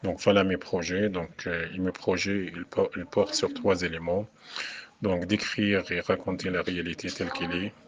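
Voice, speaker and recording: A very deep, low male voice in a flat monotone, with noticeable background noise. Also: fairly slow pace. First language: Arabic (speaking French). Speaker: poet and French professor. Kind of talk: radio interview. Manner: halting, many hesitations.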